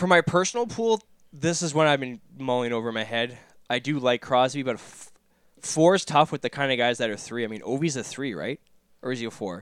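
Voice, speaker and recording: In a plain, everyday voice, a man of medium pitch talks at a fairly quick pace with ordinary pitch variation, the sound dry and close with no echo in a very clean recording over a silent background. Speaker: hockey podcast co-host. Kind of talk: casual chat.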